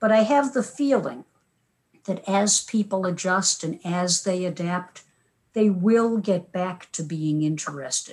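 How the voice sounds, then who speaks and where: A woman speaks at a fairly slow pace in a medium-pitched, somewhat breathy voice. Her intonation is lively. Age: 70s. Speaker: media historian and former radio broadcaster. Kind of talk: casual conversational interview. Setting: video call. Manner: chatty, digressive.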